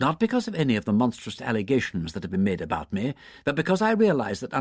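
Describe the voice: This is plain reading aloud. It stays plain reading aloud throughout.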